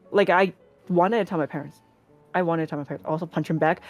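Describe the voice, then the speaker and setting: A woman talks. Behind her, music is playing. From small town in an English-speaking country, Chinese family. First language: Chinese. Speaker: streamer and cosplayer. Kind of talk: interview chat.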